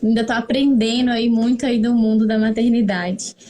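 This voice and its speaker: A woman with a fairly high-pitched voice speaks at a moderate pace against noticeable background noise. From Brazil, northern Minas Gerais (Montes Claros). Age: 30s. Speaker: pharmacist and mother sharing experience. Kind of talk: interview, personal testimony. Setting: live stream.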